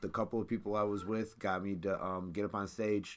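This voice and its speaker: Over music in the background, a man speaks at a moderate pace with monotone, flat intonation. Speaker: live stream co-host. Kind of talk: casual chat. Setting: live stream.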